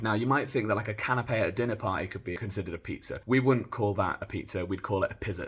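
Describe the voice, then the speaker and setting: Somewhat breathy speech at a very fast pace, with a British accent. Pitch variation stays ordinary. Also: man. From United Kingdom. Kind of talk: comedic explainer talk to camera.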